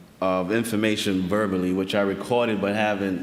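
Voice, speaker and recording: Room echo is audible as a man speaks. He keeps a fairly quick pace and fairly even intonation. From Saint Vincent (Caribbean). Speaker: archivist researcher presenter. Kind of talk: conference presentation.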